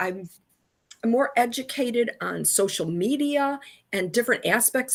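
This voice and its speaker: With lively intonation, a woman with an unremarkable speaking voice talks at a fairly slow pace. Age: 60s. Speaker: alumna and communications professional. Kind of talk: interview.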